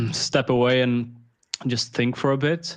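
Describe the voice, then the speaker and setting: At a moderate pace, a man with a slight Swedish accent speaks at medium pitch with fairly even intonation. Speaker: crypto investor. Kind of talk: casual interview.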